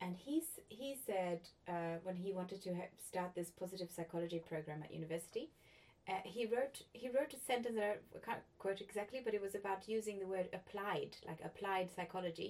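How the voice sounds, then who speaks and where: The pace is fairly quick, with ordinary pitch variation. It is a plain, everyday voice. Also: woman, medium pitch for a woman. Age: 40s. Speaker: podcast host. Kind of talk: casual interview conversation.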